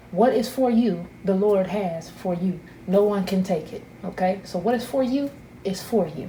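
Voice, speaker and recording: With noticeable background noise and audible room echo, a woman talks at medium pitch. Her pace is moderate and her pitch varies in an ordinary way. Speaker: tarot reader. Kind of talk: intuitive tarot reading. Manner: loud; animated.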